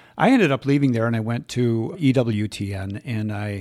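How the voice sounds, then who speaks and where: A plain, everyday voice with ordinary pitch variation in a very clean recording over a silent background. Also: man. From Minnesota, Twin Cities. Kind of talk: interview.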